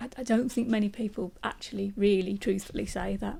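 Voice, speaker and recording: This woman's voice has a dark, mellow tone at a medium pitch, with some vocal fry. She keeps a moderate pace. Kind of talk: interview answer.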